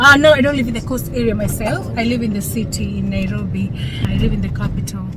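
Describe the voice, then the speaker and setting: Someone with an African accent talks at a very fast pace, with music in the background and audible room echo. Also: woman. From Kenya. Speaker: vlogger, cruise ship crew member. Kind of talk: casual travel vlog chat.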